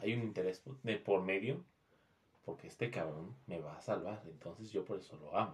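Speaking at a moderate pace, a man with a Mexican accent has a fairly low, somewhat breathy voice. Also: ordinary pitch variation. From Mexico. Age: 20s. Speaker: podcast guest. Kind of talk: casual chat.

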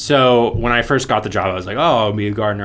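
A man with a fairly low pitch talks at a fairly quick pace in a normal speaking voice. His pitch varies an ordinary amount. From US, Florida (Orlando). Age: 20s. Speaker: mechanical engineering graduate. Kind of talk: casual chat.

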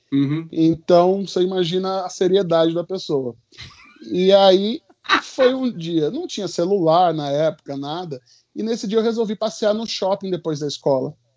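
Moderate-paced speech from a man, high in pitch, with ordinary pitch variation. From Recife, Brazil. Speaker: comedian and magician. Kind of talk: casual chat.

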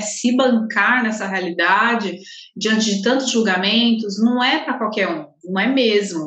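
A woman talks at a moderate pace with a fairly high pitch and ordinary pitch variation, with noticeable background noise and audible room echo in the recording. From Guarulhos, São Paulo, Brazil. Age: 30s. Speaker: holistic therapist. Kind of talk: casual interview.

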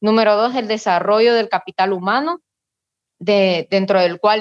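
Over a quiet background, a woman speaks at a moderate pace and medium pitch with ordinary pitch variation. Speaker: political candidate. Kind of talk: candidate panel interview.

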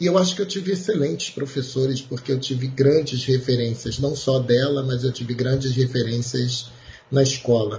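At a moderate pace, a man speaks at medium pitch in a plain, everyday voice. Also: ordinary pitch variation. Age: 40s. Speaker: math teacher. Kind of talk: interview.

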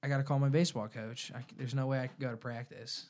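The recording is very clean, with a silent background. A man speaks at a moderate pace with a medium pitch. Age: 20s. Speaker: clothing company founder and college student. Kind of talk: interview.

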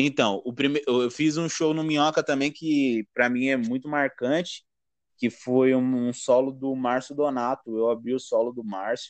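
A man's ordinary speaking voice, medium pitch, fairly even intonation, fairly slow pace. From São Paulo, east zone. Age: 20s. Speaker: stand-up comedian. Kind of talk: casual chat.

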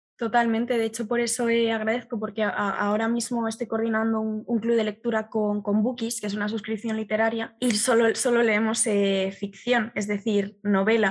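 Her voice is fairly high in pitch, with monotone, flat intonation. The woman speaks with hardly any pauses. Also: moderate pace. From Galicia, Spain. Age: 20s. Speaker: art history communicator and student. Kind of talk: casual interview chat. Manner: halting, repeats words.

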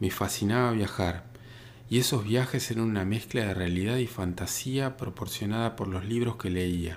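It is a plain, everyday voice. A man talks at a medium pitch, and his pitch varies in an ordinary way. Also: moderate pace. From Argentina, northern Patagonia (Río Negro). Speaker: photographer and podcaster. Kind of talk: scripted narration.

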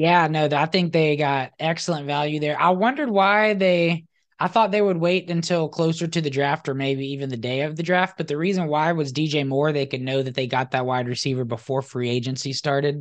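Against a quiet background, the speech runs at a fairly quick pace with hardly any pauses. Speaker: podcast host. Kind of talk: casual chat. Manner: animated.

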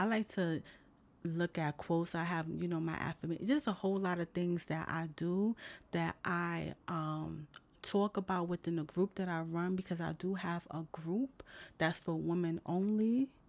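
A woman with an ordinary speaking voice and a fairly low pitch speaks at a fairly slow pace with fairly even intonation on a very clean recording with a silent background. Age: 30s. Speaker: motivational podcast host. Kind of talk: motivational talk. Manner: casual, conversational.

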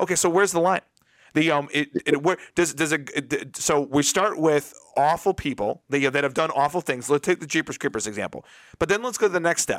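Lively intonation and a fairly quick pace mark this man's speech, recorded with a dry, close sound and no echo. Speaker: podcast host. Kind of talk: casual chat. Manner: halting, many fillers.

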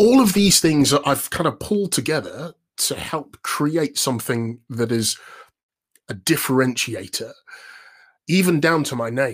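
A man with a London accent speaks in an energetic tone at a fairly high pitch, with very wide pitch swings and long, frequent pauses. The recording is very clean, with a silent background. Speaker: voiceover artist and presenter coach. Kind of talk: casual interview. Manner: upbeat.

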